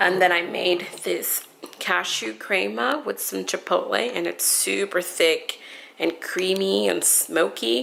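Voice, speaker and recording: A very slow pace over noticeable background noise. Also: woman. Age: 20s. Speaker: vlogger sharing daily vegan meals. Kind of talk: casual vlog narration. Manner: enthusiastic.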